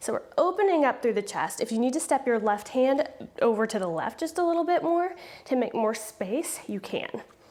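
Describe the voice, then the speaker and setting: With a calm tone, a woman's high voice makes very wide pitch swings above noticeable background noise. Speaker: yoga teacher. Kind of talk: guided yoga class. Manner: slowed down, deliberate; calm, instructive.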